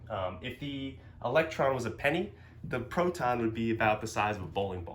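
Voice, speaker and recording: A man with a medium pitch and lively intonation at a fairly quick pace, with audible room echo. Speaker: physics teacher. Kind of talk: lecture. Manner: fast; filler words, um and uh.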